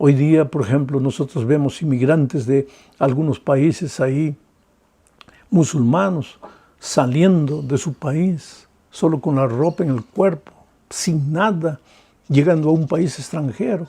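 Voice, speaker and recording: Against a quiet background, a man with a fairly high, somewhat breathy voice and a dark, mellow tone speaks at a fairly slow pace with ordinary pitch variation and long, frequent pauses. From Peru. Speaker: pastor. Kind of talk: sermon.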